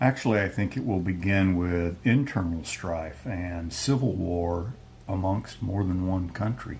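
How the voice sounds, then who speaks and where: A man with a Texas accent speaks at a very deep, low pitch, somewhat breathy. His pace is fairly slow, with ordinary pitch variation. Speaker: retired intelligence officer. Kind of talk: Q&A interview. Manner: terse, matter-of-fact.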